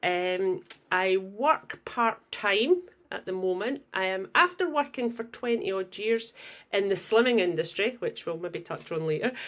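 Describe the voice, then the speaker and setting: Speaking with a Scottish accent, a woman uses lively intonation at a medium pitch and a fairly slow pace. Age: 60s. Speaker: podcast guest, former slimming coach. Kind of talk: casual chat.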